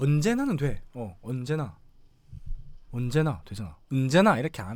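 Speaking with a Gyeongsang accent, a man uses lively intonation. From Busan. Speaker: live streamer. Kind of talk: casual live stream talk.

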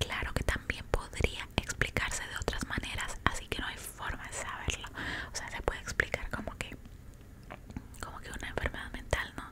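A whispering woman at a moderate pace, playful in tone, with big swings in loudness. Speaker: ASMR content creator. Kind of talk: casual ASMR talk to camera, eating and storytelling. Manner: soft, whispered, playful and chatty. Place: home room. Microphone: studio mic.

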